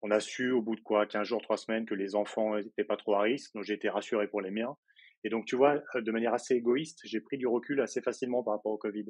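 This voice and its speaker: Very fast male speech at a medium pitch. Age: 30s. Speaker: interview guest on personal growth. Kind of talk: casual interview chat. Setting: podcast interview. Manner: hesitant, many fillers.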